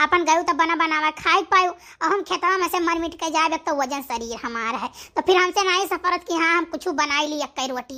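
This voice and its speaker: A woman performs a cartoonish character voice at an extremely high pitch. She moves at a fairly quick pace with hardly any pauses. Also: ordinary pitch variation. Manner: rambling, warm.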